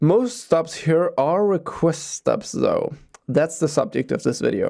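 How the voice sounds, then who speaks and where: A man with a Danish accent talks at a fairly slow pace in a dark, mellow tone with lively intonation. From Denmark. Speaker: transit video creator. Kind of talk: explainer video narration.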